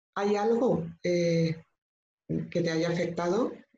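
With light background noise and audible room echo, a woman talks using fairly even intonation. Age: 50s. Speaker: professional coach, former nurse; professional coach. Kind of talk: online training talk. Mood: warm, explanatory. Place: home room. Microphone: video call.

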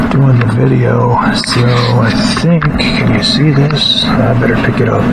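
A fairly slow pace of speech with music in the background. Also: man. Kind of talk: casual tutorial. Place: home room.

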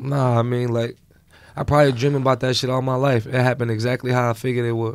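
A man speaks at a very fast pace. His intonation stays monotone and flat. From Newark, New Jersey; New Jersey. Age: 20s. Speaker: battle rapper, former inmate; podcast guest. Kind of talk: casual interview. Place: studio. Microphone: studio mic.

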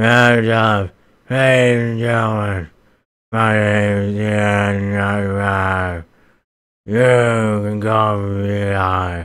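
A man's put-on character voice, fairly low in pitch, at a very slow pace. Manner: groaning, monstrous.

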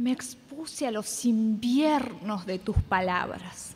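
At a very slow pace, a woman speaks. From Argentina. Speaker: competition reciter. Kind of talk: poetry reading. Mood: dramatic, reproachful. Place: stage.

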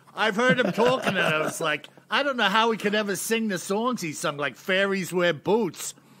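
Over noticeable background noise, a man projects a raised, high voice with lively intonation at a moderate pace. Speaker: podcast co-host. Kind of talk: casual chat.

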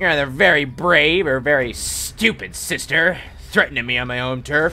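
Using a put-on character voice, a man talks at a moderate pace with fairly high pitch over clear background noise. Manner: intimidating, menacing.

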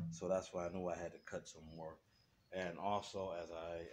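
Music plays behind the speaker. The delivery is fairly slow in pace. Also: man. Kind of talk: tutorial. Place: garage. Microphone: phone near.

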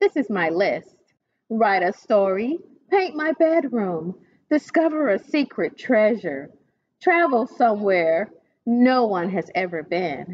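Speaking at a slow pace, a woman with medium pitch makes big pitch swings.

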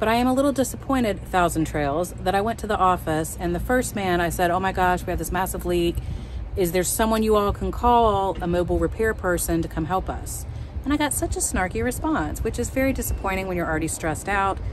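Very fast speech, dry with no echo, over light background noise. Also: woman. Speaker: RV traveler vlogger. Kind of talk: casual vlog chat. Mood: frustrated but upbeat. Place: open country. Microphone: phone near.

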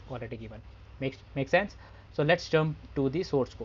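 Pitch varies in an ordinary way. The speaker is a man. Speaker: software testing instructor. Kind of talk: tutorial. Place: home room. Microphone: headset.

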